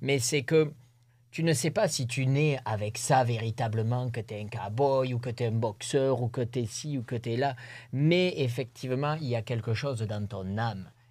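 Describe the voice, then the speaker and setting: Somewhat breathy, a man with a medium pitch speaks at a moderate pace with ordinary pitch variation on a very clean recording with a silent background. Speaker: rodeo bull jumper. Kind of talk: interview. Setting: studio.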